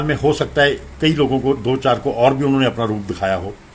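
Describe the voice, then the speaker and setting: A man's voice amid noticeable background noise. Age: 60s. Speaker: devotee sharing memories of a spiritual guru. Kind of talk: testimony / satsang storytelling.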